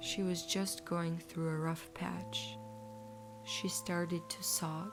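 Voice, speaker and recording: Music plays behind the voice. A woman talks at a very slow pace. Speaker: bedtime story narrator. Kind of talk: bedtime story narration.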